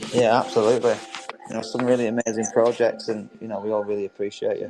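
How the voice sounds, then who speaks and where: Very fast, monotone, flat intonation over music in the background. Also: man, medium pitch for a man. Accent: English. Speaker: audio room host. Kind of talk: casual chat.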